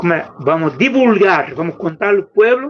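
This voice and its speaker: A man speaks in a Brazilian accent. He keeps a fairly slow pace. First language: Portuguese (speaking Spanish). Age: 70s. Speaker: popular educator. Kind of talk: workshop talk. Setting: video call. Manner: halting.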